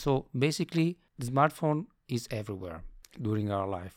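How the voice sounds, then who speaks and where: Speaking with an Italian accent, a man keeps a medium pitch and a moderate pace. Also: very clean recording, silent background. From Italy. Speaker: software company director. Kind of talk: interview. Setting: accelerator office.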